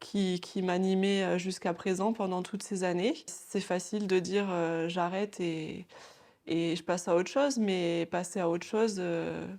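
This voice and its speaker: Against a quiet background, the voice moves at a fairly slow pace with fairly even intonation. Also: woman, medium pitch for a woman. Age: 30s. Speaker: former pharmacy assistant turned nail technician. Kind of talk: interview. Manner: halting, many hesitations.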